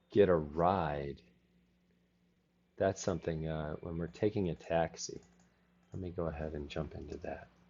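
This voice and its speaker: A man speaks in a very deep, low voice with fairly even intonation, big swings in loudness, and long, frequent pauses. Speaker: English teacher. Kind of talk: online class. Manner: slow, repeats words for learners.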